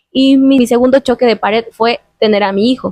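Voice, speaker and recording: A woman speaks with a Mexican accent. The sound is dry and close, with no echo. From Mexico. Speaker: YouTuber interviewing a guest. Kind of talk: casual interview conversation.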